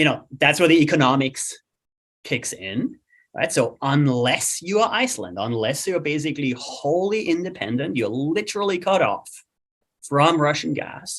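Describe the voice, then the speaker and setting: A man with an Austrian accent speaks at a fairly high pitch and moderate pace, with very wide pitch swings and vocal fry. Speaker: climate economist. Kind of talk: webinar discussion. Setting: webinar.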